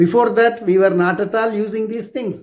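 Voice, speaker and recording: A man speaks with a Tamil accent at a moderate pace. His pitch varies in an ordinary way. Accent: Indian (Tamil) English. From South India. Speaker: clinical toxicologist. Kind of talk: personal introduction talk. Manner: halting.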